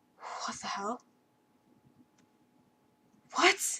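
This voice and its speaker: A put-on character voice comes out as a breathy whisper. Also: female-sounding voice. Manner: shocked, emotional.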